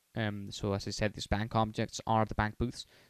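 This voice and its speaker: A man's fairly low-pitched voice in a dry, close sound with no echo. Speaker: programming tutorial maker. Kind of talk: tutorial. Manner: hesitant, many fillers; fast.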